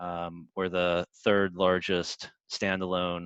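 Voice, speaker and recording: In a dry, close recording with no echo and a quiet background, a man with an American accent talks very slowly in a very deep, low, monotone voice. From United States. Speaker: insurance underwriting team head. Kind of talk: business webinar presentation. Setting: video call webinar. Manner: hesitant with repetitions and fillers.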